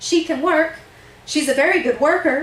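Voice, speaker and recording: Putting on a squeaky character voice, a woman speaks at an extremely high pitch with fairly even intonation and a moderate pace. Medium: stage play.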